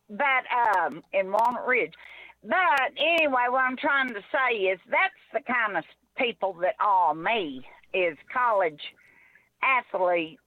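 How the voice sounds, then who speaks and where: A woman's fairly high voice with an Arkansas accent, very wide pitch swings and a very slow pace. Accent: Southern US (Arkansas). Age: 60s. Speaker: caller. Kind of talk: call-in sports talk.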